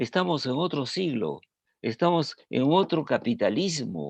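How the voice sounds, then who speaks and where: Against a quiet background, a man talks at a very slow pace and fairly high pitch, with lively intonation. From Peru. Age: 80s+. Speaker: scholar and former government official. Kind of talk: panel discussion talk. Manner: halting, with repetitions.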